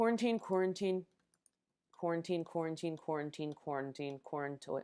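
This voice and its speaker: A woman speaks at a moderate pace with ordinary pitch variation. Her voice sits fairly low and has a dark, mellow tone. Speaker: live streamer. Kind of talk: repetitive live stream challenge. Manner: slurred repetition.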